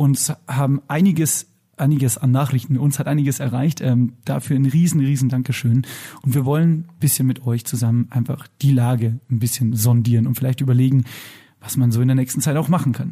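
This man's voice is dark, mellow and somewhat breathy, at a medium pitch. He talks at a fairly quick pace with very even loudness. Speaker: podcast co-host. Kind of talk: casual chat. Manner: excitable.

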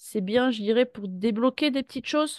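A woman is talking. Her pitch varies in an ordinary way. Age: 30s. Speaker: former pastry chef retraining as massage therapist. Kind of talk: interview testimony. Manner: halting.

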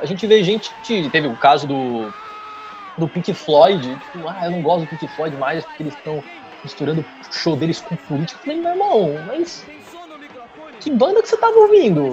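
A man with a São Paulo accent speaks at a moderate pace, with long, frequent pauses and big swings in loudness. Noticeable background noise is present. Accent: paulista. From São Paulo state, São Bernardo do Campo. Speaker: history graduate and content creator. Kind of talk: casual interview.

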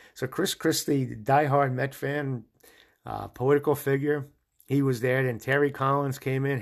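With an American accent and an enthusiastic tone, a man speaks at a medium pitch and moderate pace on a very clean recording against a silent background. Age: 60s. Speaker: sports podcast host. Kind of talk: solo podcast monologue.

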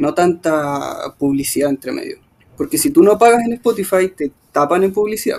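In a Chilean accent, a man talks at a moderate pace in a high pitch with very wide pitch swings. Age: 30s. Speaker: musician. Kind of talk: interview. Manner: halting.

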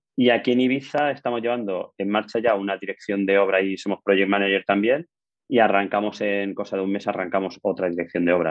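Fairly low in pitch, this man has an unremarkable speaking voice with ordinary pitch variation. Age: 40s. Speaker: building engineer and construction manager. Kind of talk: casual interview.

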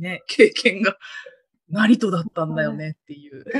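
A woman speaks with vocal fry and lively intonation. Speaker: guest, university friend of host. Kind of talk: casual chat. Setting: online call.

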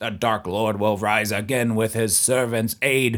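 Speaking fairly slowly, a man adopts a raspy put-on character voice pitched in his middle range. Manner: theatrical, prophetic.

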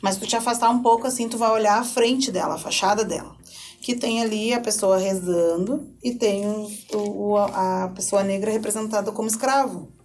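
Her fairly high voice keeps a fairly even intonation at a moderate pace, and audible room echo surrounds the woman. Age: 30s. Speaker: education specialist. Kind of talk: podcast interview. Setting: studio.

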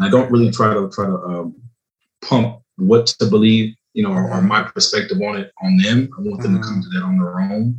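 With an American accent, a man talks at a fairly quick pace and a fairly low pitch. His voice is somewhat breathy, with ordinary pitch variation. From US, Los Angeles and the East Coast. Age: 40s. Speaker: truck driver and real estate agent. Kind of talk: casual chat.

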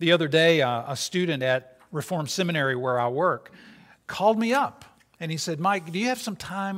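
On a very clean recording with a silent background, a man in an ordinary speaking voice talks at a fairly high pitch and fairly quick pace with lively intonation. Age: 60s. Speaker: interim pastor. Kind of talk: sermon. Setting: church.

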